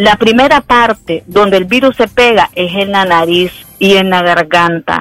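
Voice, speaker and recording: A woman speaks at a fairly slow pace in an unremarkable speaking voice. Her loudness stays very even throughout. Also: medium pitch for a woman, ordinary pitch variation. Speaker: infectious disease doctor. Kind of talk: expert interview.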